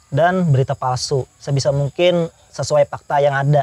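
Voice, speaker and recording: A man's fairly high, somewhat breathy voice with a dark, mellow tone and fairly even intonation. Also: dry, close sound with no echo. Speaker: youtuber. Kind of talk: interview.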